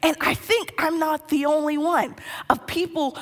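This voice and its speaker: Noticeable background noise sits behind a woman's voice. She speaks at a high pitch and a very slow pace. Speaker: pastor. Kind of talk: sermon. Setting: church with live audience.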